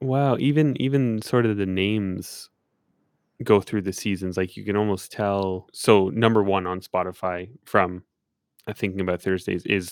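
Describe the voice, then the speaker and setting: A man with an unremarkable speaking voice talks at a fairly low pitch with ordinary pitch variation. The sound is dry and close with no echo, and the recording is very clean, with a silent background. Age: 20s. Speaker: podcast host and music producer. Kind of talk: casual interview chat.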